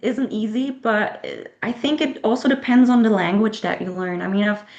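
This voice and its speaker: A woman with a German accent speaks at a moderate pace in a fairly high voice with ordinary pitch variation. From Germany. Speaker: author. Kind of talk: interview. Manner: halting.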